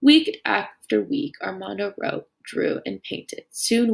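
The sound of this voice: An unforced reading voice sounds against a quiet background.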